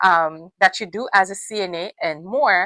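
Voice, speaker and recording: A woman's bright, sharp-toned voice. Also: dry, close sound with no echo, quiet background. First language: not English. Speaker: registered nurse and nursing school coach. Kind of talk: advice talk to camera. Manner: animated, repetitive emphasis; halting with self-corrections.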